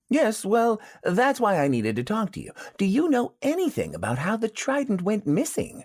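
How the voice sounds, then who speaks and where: The speaker uses a put-on character voice with a fairly high pitch at a moderate pace. The recording is very clean, with a silent background. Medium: audio drama. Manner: dry, understated.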